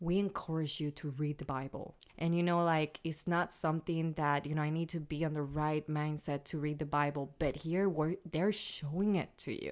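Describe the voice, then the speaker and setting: A woman's very deep, low voice with a Puerto Rican accent and an animated tone, at a moderate pace with hardly any pauses, in a very clean recording with a silent background. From Puerto Rico. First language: Spanish. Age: 30s. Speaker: podcast host. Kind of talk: casual chat. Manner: animated, excitable.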